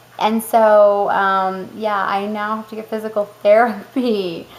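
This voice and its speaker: A woman speaks with a medium pitch. Noticeable background noise can be heard. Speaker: mother of four boys. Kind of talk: casual talk to camera.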